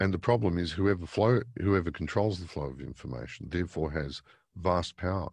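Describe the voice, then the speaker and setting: A man with a very deep, low pitch and vocal fry, in an Australian accent, at a fairly quick pace with ordinary pitch variation against a quiet background. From Australia, Victoria. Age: 50s. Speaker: newspaper editor. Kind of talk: interview.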